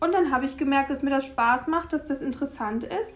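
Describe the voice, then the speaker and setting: A woman with a high pitch talks fairly quickly, and her pitch varies in an ordinary way. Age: 20s. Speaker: nutrition graduate. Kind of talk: interview. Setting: studio.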